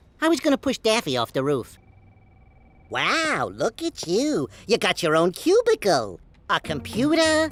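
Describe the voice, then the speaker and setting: A cartoonish character voice at a fairly high pitch comes with long, frequent pauses. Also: moderate pace. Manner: dry, sardonic.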